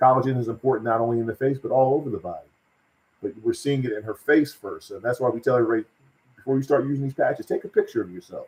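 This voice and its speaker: Somewhat breathy, a man talks at a very fast pace at a medium pitch with ordinary pitch variation. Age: 60s. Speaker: wellness product seller. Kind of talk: live stream sales pitch; casual chat. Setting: live video stream. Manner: animated.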